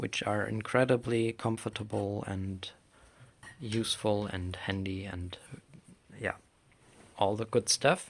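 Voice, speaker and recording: The very clean recording with a silent background carries a man with a German accent whose intonation stays fairly even. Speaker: craft maker. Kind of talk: tutorial. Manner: halting.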